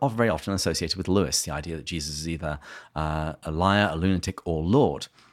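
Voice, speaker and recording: In an English accent, a man talks at a fairly quick pace with a very deep, low pitch. The recording is very clean and the background silent. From England. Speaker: podcast host. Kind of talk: interview.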